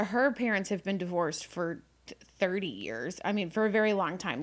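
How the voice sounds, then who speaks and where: A woman speaks in a normal speaking voice at a medium pitch and a moderate pace, on a very clean recording with a silent background. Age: 30s. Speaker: livestream co-host. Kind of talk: casual chat. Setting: home livestream.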